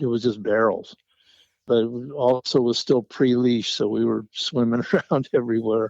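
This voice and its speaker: A man speaks at a moderate pace in a medium pitch, his intonation monotone and flat. The background is quiet. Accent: American. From US West Coast. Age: 70s. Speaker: surfboard shaper. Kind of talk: casual interview.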